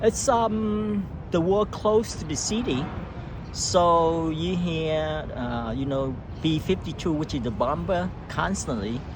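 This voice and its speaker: Audible room echo and noticeable background noise around a man's fairly high-pitched voice. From Vietnam, Saigon. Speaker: war survivor, immigrant. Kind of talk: oral history interview. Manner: halting.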